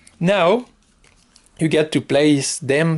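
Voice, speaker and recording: With a strong non-native accent, a man speaks at a fairly high pitch with ordinary pitch variation. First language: French. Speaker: board game reviewer. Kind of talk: tutorial. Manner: hesitant, many fillers.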